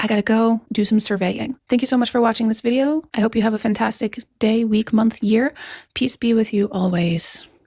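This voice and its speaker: A woman speaks at a fairly quick pace in a fairly high, somewhat breathy voice, with fairly even intonation and very even loudness. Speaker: youtuber, commentary creator. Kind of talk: reaction commentary vlog.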